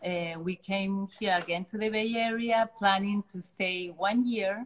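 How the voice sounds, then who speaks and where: A woman with a Chilean accent speaks very slowly at medium pitch. Her voice is somewhat breathy, with ordinary pitch variation. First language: Spanish. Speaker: artist. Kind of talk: interview. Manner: halting.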